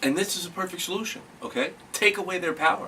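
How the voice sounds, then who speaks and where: Loud and animated, a man speaks at a moderate pace over noticeable background noise. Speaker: comedic sports commentator. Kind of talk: comedic rant. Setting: alone in a room on camera.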